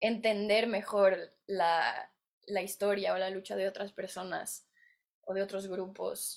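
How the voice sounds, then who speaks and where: The speaker is a woman with a medium pitch. She talks at a fairly slow tempo. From Mexico. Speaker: actress and writer. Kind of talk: interview.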